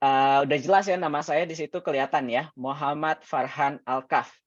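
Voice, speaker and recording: Speech comes at a fairly slow pace with ordinary pitch variation. The background is quiet. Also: man. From Indonesia, Jakarta. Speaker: teacher. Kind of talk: online class. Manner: mixes Indonesian and English.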